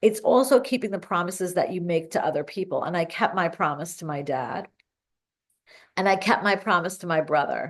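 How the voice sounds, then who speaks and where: A woman's voice, an unremarkable speaking voice, at a fairly low pitch with lively intonation and a moderate pace against a quiet background. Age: 50s. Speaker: fitness coach. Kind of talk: casual talk to camera. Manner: upbeat.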